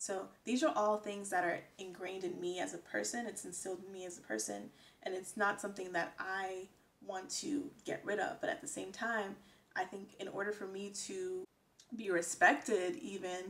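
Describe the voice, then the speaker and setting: With an American accent, a woman speaks at a moderate pace and a medium pitch, showing ordinary pitch variation. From United States. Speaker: vlogger. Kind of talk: casual talk to camera. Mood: earnest, reflective. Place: home room.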